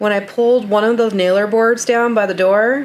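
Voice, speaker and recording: A woman speaks at a fairly slow pace in a medium pitch. Her intonation stays fairly even. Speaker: DIY home renovation vlogger. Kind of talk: voiceover narration. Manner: casual, conversational.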